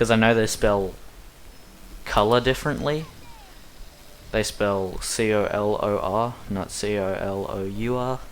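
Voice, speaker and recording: A man at a fairly slow pace, fairly even intonation, long and frequent pauses, audible room echo. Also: fairly low pitch for a man. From Australia. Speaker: speedrunner. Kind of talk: gameplay commentary. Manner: casual, rambling commentary.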